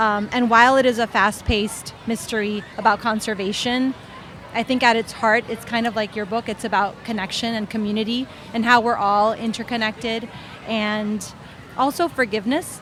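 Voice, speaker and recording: Speaking at a moderate pace with a Spanish accent, a woman uses a fairly high pitch and fairly even intonation over noticeable background noise. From Honduras. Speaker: children's book author. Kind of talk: panel discussion. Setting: book festival panel.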